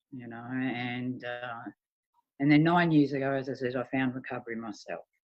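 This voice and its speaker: A woman speaks with an Australian accent at a moderate pace. Her pitch is very deep and low. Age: 60s. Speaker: bereaved mother in recovery. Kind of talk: testimony.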